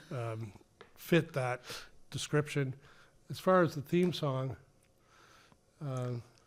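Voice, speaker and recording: The speech comes at a very slow pace with long, frequent pauses. Loudness swings widely throughout. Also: man, fairly high pitch for a man. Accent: slight Massachusetts. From Ipswich, Massachusetts. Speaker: author and former political staffer. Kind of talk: casual podcast interview.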